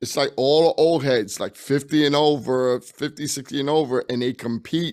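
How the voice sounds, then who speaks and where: A man speaks with a New York accent. His pace is moderate and his pitch variation ordinary. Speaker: documentary filmmaker and basketball coach. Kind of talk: casual interview chat.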